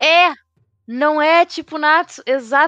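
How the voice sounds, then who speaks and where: A woman's voice comes through dry and close with no echo against a quiet background. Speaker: podcast host. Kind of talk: casual chat.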